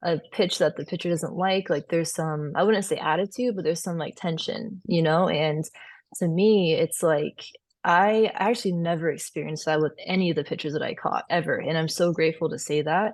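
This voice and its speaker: Against a quiet background, a soft-spoken woman talks at a fairly quick pace and fairly low pitch with fairly even intonation. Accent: American. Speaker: former college softball catcher. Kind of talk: podcast interview.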